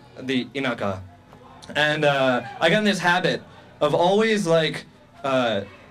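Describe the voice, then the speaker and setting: Over music in the background, a man with a fairly high pitch talks at a fairly slow pace, his pitch swinging very widely between long, frequent pauses. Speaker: stand-up comedian. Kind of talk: stand-up comedy set for a live club audience. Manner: nervous, awkward.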